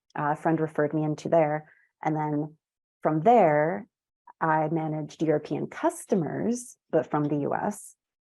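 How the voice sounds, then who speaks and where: At a moderate pace and with ordinary pitch variation, the voice has a dark, mellow tone over a quiet background. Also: woman, very deep, low pitch for a woman. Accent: American. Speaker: tech account manager. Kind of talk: interview.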